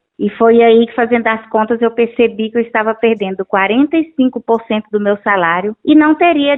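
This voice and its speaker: A woman with a high pitch, ordinary pitch variation and a moderate pace. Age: 60s. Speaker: schoolteacher. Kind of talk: interview.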